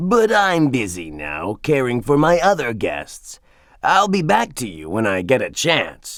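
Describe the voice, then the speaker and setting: A put-on character voice from a man, fairly high, fairly slow, and swinging very widely in pitch. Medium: read story. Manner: teasing, playful.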